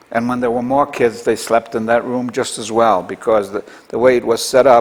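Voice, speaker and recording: Over noticeable background noise, a man with a medium pitch speaks at a moderate pace in a monotone, flat intonation. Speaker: Holocaust-era survivor recounting family history. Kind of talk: oral history interview. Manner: halting.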